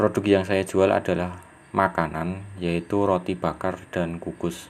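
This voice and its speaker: A man with a very deep, low pitch, flat monotone intonation, and a fairly slow pace. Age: 20s. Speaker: small business owner. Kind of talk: interview. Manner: formal.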